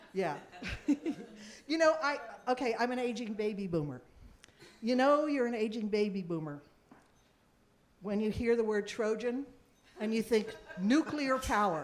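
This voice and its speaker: With audible room echo, a woman speaks at a moderate pace, leaving long, frequent pauses. Her fairly high voice has lively intonation. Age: 60s. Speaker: actress and singer. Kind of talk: live podcast chat with audience. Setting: stage with audience. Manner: halting.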